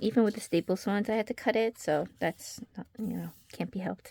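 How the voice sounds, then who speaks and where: A woman speaks at a fairly quick pace with a fairly high pitch and ordinary pitch variation. The sound is dry and close with no echo. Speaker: craft and fan vlogger. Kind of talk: casual chat. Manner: hesitant, many fillers.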